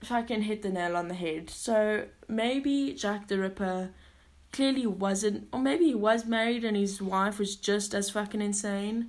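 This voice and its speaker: Here a woman talks at a fairly slow pace in a plain, everyday voice at a medium pitch. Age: 20s. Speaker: podcast host. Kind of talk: casual monologue. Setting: home during lockdown.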